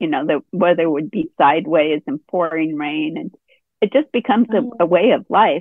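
A woman with an ordinary speaking voice talks at a moderate pace in a fairly low pitch, her intonation lively. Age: 60s. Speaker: artist. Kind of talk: casual chat. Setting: video call.

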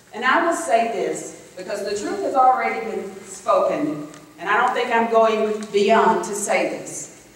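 A woman with an American accent, lively in intonation, fairly slow yet hardly pausing, in strong room echo. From Florida, Tallahassee area; Florida. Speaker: political candidate; candidate. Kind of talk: campaign speech. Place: hall.

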